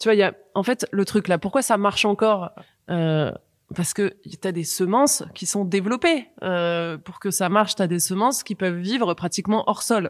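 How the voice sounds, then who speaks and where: A woman talks at a moderate pace with medium pitch and ordinary pitch variation. It is an unremarkable speaking voice. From France, Paris suburbs. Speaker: activist and former finance professional. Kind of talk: casual discussion.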